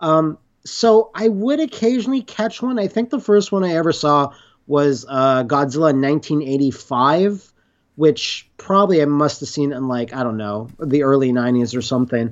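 A man at a fairly high pitch, with very wide pitch swings and a moderate pace. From Canada, Montreal. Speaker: video creator covering monster movies. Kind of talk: casual chat. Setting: remote call.

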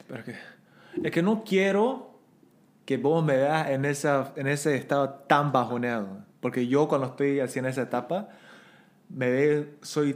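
A man with a fairly high pitch talks at a fairly slow pace, with ordinary pitch variation and long, frequent pauses. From Bolivia. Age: 30s. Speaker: podcast guest. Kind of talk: casual chat.

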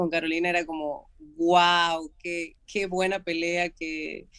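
A woman with an Argentine accent, fairly low in pitch, at a fairly slow pace. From Argentina. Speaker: mixed martial arts fighter. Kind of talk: interview.

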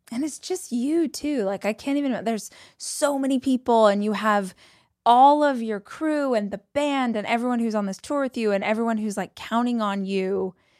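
On a very clean recording with a silent background, a woman with a fairly high pitch speaks at a moderate pace in an unremarkable speaking voice. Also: ordinary pitch variation. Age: 40s. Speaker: podcast host. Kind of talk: read-out ad; interview conversation.

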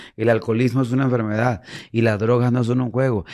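A man speaks in a Mexican accent at a medium pitch. His tone is animated and his pace fairly quick. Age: 40s. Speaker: musician in addiction recovery. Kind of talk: interview.

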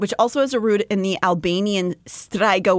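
Ordinary pitch movement in someone reading aloud in a natural voice

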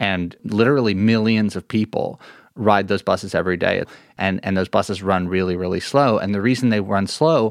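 This man has an ordinary speaking voice, fairly low in pitch with ordinary pitch variation, captured on a very clean recording with a silent background and a dry, close sound with no echo. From New York City, Lower Manhattan. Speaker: journalist and author. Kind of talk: interview.

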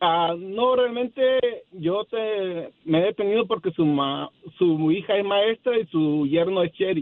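At a very slow pace, the voice holds very even loudness with ordinary pitch variation. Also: man, high pitch for a man. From Mexico, Acapulco. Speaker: caller, small business owner. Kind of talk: phone call-in. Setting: phone call.

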